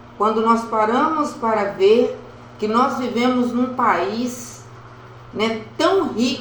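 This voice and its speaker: Very slowly, a woman speaks at a high pitch with ordinary pitch variation, amid audible room echo and noticeable background noise. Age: 70s. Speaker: evangelical preacher. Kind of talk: devotional talk.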